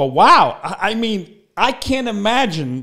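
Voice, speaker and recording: A man talks in an animated tone with very wide pitch swings. The background is quiet. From US Northeast, Brooklyn New York; New York. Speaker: internet show host, actor and impressionist; internet show host, actor. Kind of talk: casual interview chat. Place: home room. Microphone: studio mic.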